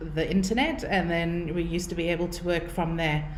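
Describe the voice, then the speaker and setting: A woman with a South African accent speaks at a moderate pace. Noticeable background noise and audible room echo are present. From South Africa, Cape Town. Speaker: marketing consultant. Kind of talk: webinar presentation. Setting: online webinar.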